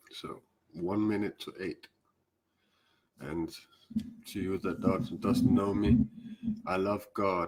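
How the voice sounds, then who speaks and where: Very slowly, a man speaks with a Danish accent. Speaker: spiritual teacher. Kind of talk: live stream talk. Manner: halting.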